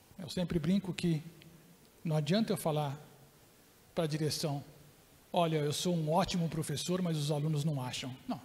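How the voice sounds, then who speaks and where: A man with a fairly high pitch talks at a moderate pace and ordinary pitch variation. He leaves long, frequent pauses. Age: 60s. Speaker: professor and keynote speaker. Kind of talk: lecture.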